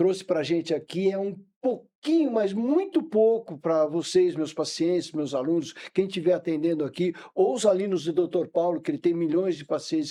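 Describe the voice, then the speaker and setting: Ordinary pitch variation in a man's high, dark, mellow voice at a moderate pace. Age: 60s. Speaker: orthopedic doctor, podcast host. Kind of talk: podcast interview closing.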